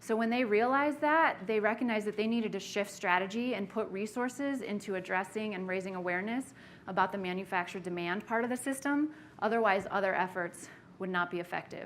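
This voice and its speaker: A woman talks at a very fast pace. Her medium pitch shows ordinary variation. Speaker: workshop facilitator. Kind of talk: lecture. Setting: meeting room with audience.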